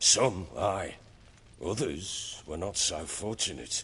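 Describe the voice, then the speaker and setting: Putting on a character voice, a man speaks at a very slow pace in a very deep, low pitch, raspy and with lively intonation. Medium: video game. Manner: gruff, blunt.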